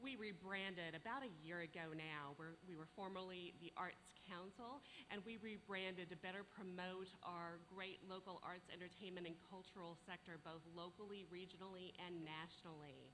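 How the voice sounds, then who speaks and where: A woman's bright, sharp voice moves at a moderate pace with ordinary pitch variation, and room echo is audible. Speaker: arts organization leader. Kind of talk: conference presentation.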